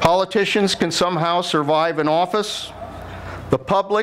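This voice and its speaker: Over noticeable background noise, a high-voiced man speaks at a moderate pace with fairly even intonation. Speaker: former Secretary of Defense, commencement speaker. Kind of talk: commencement speech. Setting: large ceremony hall with public address system.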